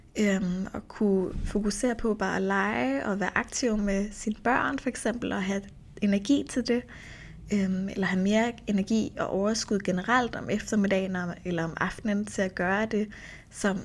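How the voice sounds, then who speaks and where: An ordinary speaking voice belongs to a woman with a medium pitch. Her delivery is fairly slow, and its pitch variation is ordinary. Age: 30s. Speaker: nutrition coach and podcast host. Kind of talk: solo podcast monologue. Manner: casual, with filler sounds.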